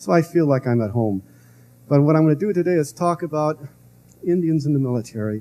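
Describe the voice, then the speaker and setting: The delivery is very fast, yet long, frequent pauses interrupt it. The tone is dark and mellow, with lively intonation. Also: man, fairly high pitch for a man. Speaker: lecturer on history. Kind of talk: public lecture. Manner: hesitant, many fillers.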